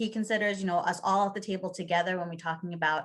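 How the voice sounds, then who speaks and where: A woman at a very fast pace, fairly low in pitch, with fairly even intonation. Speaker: early childhood policy advocate. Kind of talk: conference presentation. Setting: conference session.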